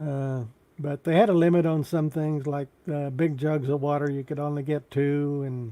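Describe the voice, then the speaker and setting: A man with an American accent, dark, mellow tone, fairly even intonation and moderate pace. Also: fairly high pitch for a man. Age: 70s. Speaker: YouTube live streamer. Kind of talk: casual live stream chat. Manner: halting.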